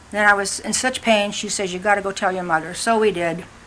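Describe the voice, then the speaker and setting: A woman with an American accent, against noticeable background noise. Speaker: family elder interviewee. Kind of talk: oral history interview.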